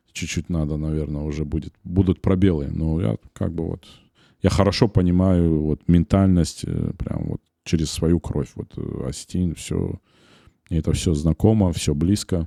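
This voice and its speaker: A man's very deep, low voice with a dark, mellow tone and a slight Ossetian accent, at a fairly slow pace with fairly even intonation, in a very clean, dry, close recording with no echo and a silent background. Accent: slight Ossetian-tinged accent in Russian. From North Ossetia, Beslan. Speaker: media company director, podcast co-host. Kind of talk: casual podcast conversation. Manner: hesitant, many fillers.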